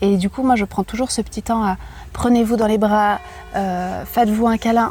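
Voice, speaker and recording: Music in the background behind a woman's fairly high-pitched voice, fairly quick in pace with fairly even intonation. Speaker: yoga teacher and sophrologist. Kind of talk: casual chat. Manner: calm, gentle.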